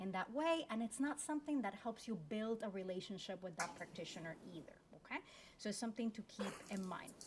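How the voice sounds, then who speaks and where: Talking at a fairly quick pace, a woman with a Spanish accent sounds somewhat breathy, her fairly high voice rising and falling in a lively way. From Puerto Rico. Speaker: law school dean. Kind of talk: panel discussion with career advice.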